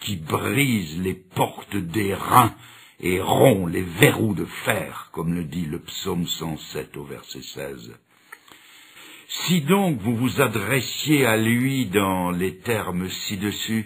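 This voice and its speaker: Amid noticeable background noise, a man with a fairly low pitch speaks at a very slow pace, with big swings in loudness. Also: lively intonation. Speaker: preacher. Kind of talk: sermon.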